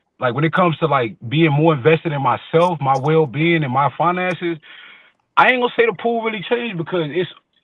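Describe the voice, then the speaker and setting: A man with a strong Southern US accent, fairly high pitch, lively intonation and a fairly quick pace. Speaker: podcast panelist. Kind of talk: casual chat.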